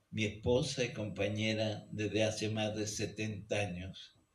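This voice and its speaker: At a very slow pace, a man talks in a fairly low, somewhat breathy voice. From Chile, Santiago. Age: 90s. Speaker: geologist and author. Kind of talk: reading aloud from own memoir. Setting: book launch event in a radio studio hall.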